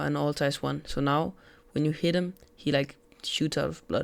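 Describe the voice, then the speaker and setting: Someone with a non-native accent talks at a fairly quick pace in a very clean recording with a silent background. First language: not English. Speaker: gaming tutorial creator. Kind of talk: tutorial. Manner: casual, filler-heavy.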